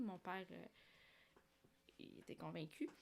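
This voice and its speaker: Heard on a very clean recording with a silent background, the voice has a bright, sharp tone and ordinary pitch variation. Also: woman. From Algeria, Algiers. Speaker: cosplayer and leisure animator for seniors. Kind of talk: interview.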